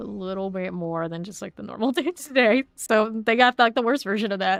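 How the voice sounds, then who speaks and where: A woman with an American accent speaks in a fairly high pitch with lively intonation and big swings in loudness, the sound dry and close with no echo. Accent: slight Southern drawl, stronger when lazy. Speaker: video game streamer. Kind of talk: casual live stream chat. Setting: live stream.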